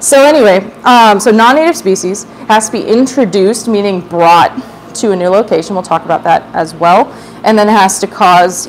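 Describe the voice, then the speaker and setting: Against light background noise, a woman talks at a fairly quick pace. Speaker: educator giving a public talk. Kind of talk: lecture. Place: hall.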